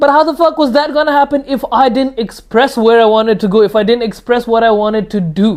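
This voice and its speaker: A man's extremely high voice at a very fast pace, with hardly any pauses, ordinary pitch variation, very even loudness, and a quiet background. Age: 20s. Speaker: self-improvement youtuber. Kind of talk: casual monologue. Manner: casual, conversational.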